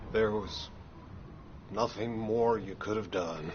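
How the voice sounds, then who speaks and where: Against clear background noise, a man puts on a character voice, fairly low in pitch and fairly slow in pace. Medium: video game.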